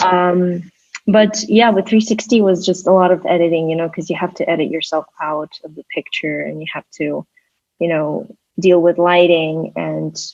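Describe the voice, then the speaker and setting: A woman in a Russian accent, at a moderate pace, with fairly low pitch, fairly even intonation and big swings in loudness. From Kyrgyzstan. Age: 20s. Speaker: artist and designer. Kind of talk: interview. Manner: halting.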